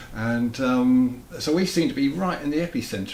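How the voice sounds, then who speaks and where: Audible room echo surrounds a man whose voice is fairly high-pitched. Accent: English. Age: 50s. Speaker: interviewer. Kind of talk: interview. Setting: home studio.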